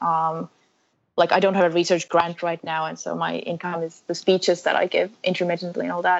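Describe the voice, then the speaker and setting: A woman's fairly low voice, flat and monotone, at a fairly quick pace. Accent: Finnish. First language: Finnish. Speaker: researcher and endurance runner. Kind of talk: interview.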